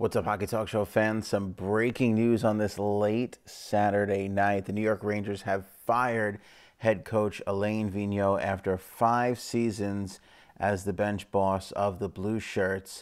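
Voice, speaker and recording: A man speaks quietly at a fairly slow pace and a fairly low pitch. His intonation is monotone and flat. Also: very clean recording, silent background. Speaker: hockey show host. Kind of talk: casual commentary vlog. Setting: home living room at night. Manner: hushed.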